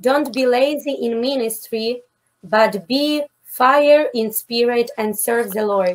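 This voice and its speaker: A woman speaks at a very slow pace with a fairly high pitch. Her pitch varies in an ordinary way. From Ukraine. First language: Ukrainian or Russian. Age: 20s. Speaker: missionary; interview guest. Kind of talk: interview testimony; prayer. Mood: earnest, calm. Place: home room.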